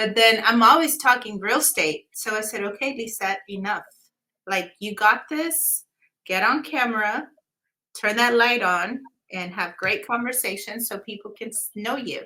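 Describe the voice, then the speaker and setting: With a slight Mexican accent, a woman with a fairly high, bright and sharp voice talks at a moderate pace, her loudness rising and falling in big swings. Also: ordinary pitch variation. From Mexico-Texas border (Eagle Pass area). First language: Spanish. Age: 20s. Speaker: real estate agent. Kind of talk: casual interview.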